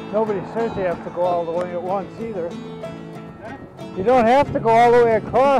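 Dry sound with no echo, plus clear music in the background. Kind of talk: casual chat while riding. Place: bicycle. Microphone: camera far.

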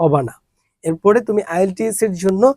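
The man's voice sits at a high pitch with a dark, mellow tone. His pitch variation is ordinary, and the sound is dry and close with no echo. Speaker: English teacher promoting own course. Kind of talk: course promo and lecture.

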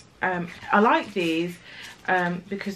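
A woman with a British accent speaks at a fairly slow pace in a relaxed tone with fairly even intonation, over light background noise. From UK. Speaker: lifestyle vlogger. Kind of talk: casual vlog talk to camera. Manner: relaxed, chatty. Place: home room.

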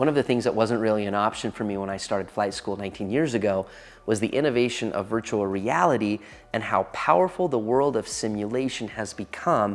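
A man talking at a fairly quick pace with ordinary pitch variation. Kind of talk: interview answer.

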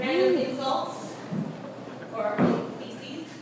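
The recording carries audible room echo beneath loud background noise. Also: woman. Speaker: spoken word performer. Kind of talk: live slam poetry performance. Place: stage. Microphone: camera far.

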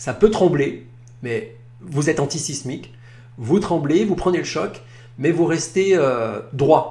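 Against noticeable background noise, a man with a fairly high pitch and ordinary pitch variation speaks at a very slow pace with long, frequent pauses. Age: 50s. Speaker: naturopath and podcast host. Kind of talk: advice monologue.

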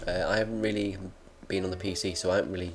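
A man talking at a very fast pace, fairly low in pitch, with music in the background. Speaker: video gamer. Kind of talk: casual game commentary. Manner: hesitant, many fillers.

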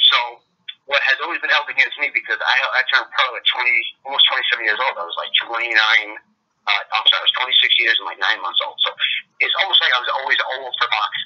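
A man with an American accent talks at a fairly quick pace. He leaves long, frequent pauses. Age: 30s. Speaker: professional boxer. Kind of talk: interview.

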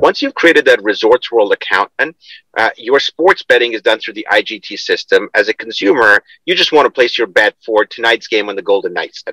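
The background is quiet and the sound is dry with no echo. A man talks at a fairly quick pace. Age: 40s. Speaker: payments company co-founder and executive; guest. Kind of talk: interview. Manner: halting, frequent repetitions. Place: car. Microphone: video call.

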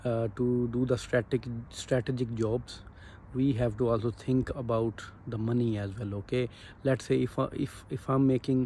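Monotone, flat delivery at a moderate pace, somewhat breathy, with a dark, mellow tone over light background noise. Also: man, dry sound with no echo. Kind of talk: casual vlog chat. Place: street. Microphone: phone near.

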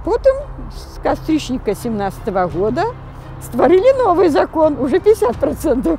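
Over faint music in the background, a woman speaks at a moderate pace with a high pitch, very wide pitch swings and big swings in loudness, in a dry sound with no echo. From Belarus. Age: 70s. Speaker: protester. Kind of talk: interview answer. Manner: resolute. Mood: resolute, defiant.

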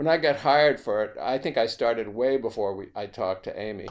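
With an American accent, a man talks at a moderate pace using lively intonation. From New York. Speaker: film composer; interviewee. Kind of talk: casual interview. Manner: halting. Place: home room. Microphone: video call.

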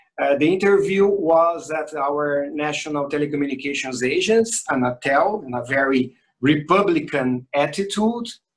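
A man with a Portuguese accent speaks at a fairly high pitch with lively intonation. His pace is moderate with hardly any pauses, against a quiet background. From Brazil. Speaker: consumer advocacy public affairs head; panelist. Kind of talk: formal interview. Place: home room. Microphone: video call.

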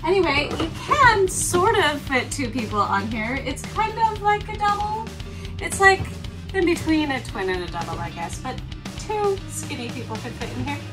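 A woman with big swings in loudness and clear music in the background. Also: moderate pace. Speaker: vlogger giving boat tour. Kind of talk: casual vlog chat. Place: boat. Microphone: camera far.

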